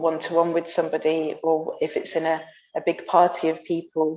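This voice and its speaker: Soft-spoken, a woman talks at a fairly slow pace with a fairly low pitch. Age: 30s. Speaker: bellydance teacher and performer. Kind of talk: interview conversation. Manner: halting.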